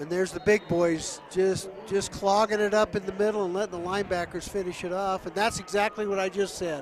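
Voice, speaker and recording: Over noticeable background noise, a high-pitched man speaks in a flat monotone at a fairly quick pace, with hardly any pauses. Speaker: color commentator, sports analyst. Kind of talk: football broadcast analysis.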